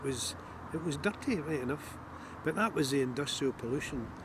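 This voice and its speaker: Noticeable background noise runs behind the speaker. He is a man whose pitch variation is ordinary. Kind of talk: interview answer.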